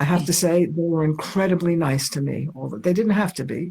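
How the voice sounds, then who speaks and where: Speaking at a fairly quick pace with an American accent, a woman has a fairly low, somewhat breathy voice. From New York. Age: 80s+. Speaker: artist. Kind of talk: interview.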